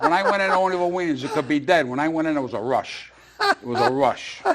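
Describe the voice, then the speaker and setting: Noticeable background noise sits behind a man with a fairly high voice. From Rhode Island. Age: 60s. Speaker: comedian. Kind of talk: casual chat. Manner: loud.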